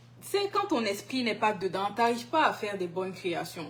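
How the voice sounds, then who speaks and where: A somewhat breathy woman's voice at a medium pitch and a moderate pace. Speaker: singer. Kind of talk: interview. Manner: halting.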